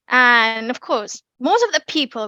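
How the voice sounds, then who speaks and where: Speaking at a very slow pace, a woman with a British accent has a fairly high pitch and a bright, sharp tone. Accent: British accent, learned. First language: Indonesian. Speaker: public speaking speaker, bank employee. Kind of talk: online talk presentation. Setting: online meeting.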